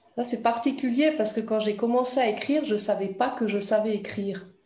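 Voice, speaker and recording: Audible room echo and noticeable background noise surround a woman with a fairly high pitch. She speaks at a moderate pace with ordinary pitch variation. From Italy. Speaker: writer, former fitness instructor. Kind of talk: interview.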